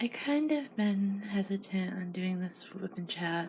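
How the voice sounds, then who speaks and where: A woman speaks softly at a medium pitch. Her voice is somewhat breathy, with a dark, mellow tone. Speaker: mental health vlogger. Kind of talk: personal reflective monologue. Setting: home at night. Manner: soft-spoken.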